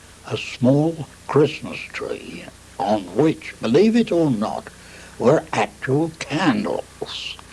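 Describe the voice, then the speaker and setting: A man with a fairly high pitch speaks at a very slow pace, his pitch swinging very widely. Noticeable background noise sits behind him. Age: 80s+. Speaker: war veteran. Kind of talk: interview answer.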